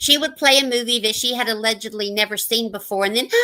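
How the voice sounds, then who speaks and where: At a fairly quick pace, a woman is talking. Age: 60s. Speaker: retiree YouTuber. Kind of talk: casual group chat.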